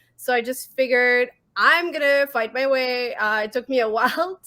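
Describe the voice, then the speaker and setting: Raised and projected, a woman's high-pitched voice has a bright, sharp tone and speaks with a French-Canadian accent. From Quebec, Montreal. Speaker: horror filmmaker and podcast co-host. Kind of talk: casual chat. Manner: hesitant, many fillers.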